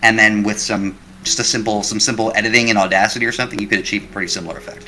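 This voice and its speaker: A man talks at a very fast pace with a fairly low pitch and monotone, flat intonation. There is noticeable background noise. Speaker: YouTube creator. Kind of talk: interview.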